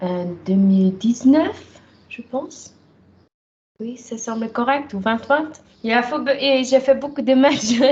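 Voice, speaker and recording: A woman in a Swiss German accent, high in pitch with ordinary pitch variation, at a very slow pace, with big swings in loudness and long, frequent pauses. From German-speaking Switzerland, travelled widely. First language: Swiss German (speaking French). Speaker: professional wrestler. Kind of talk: interview. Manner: halting, many hesitations.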